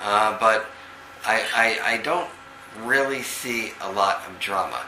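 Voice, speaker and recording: In a New York accent, a man speaks at a fairly low pitch with ordinary variation, amid audible room echo and noticeable background noise. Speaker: psychic medium. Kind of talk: psychic reading over video call. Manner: halting, many fillers.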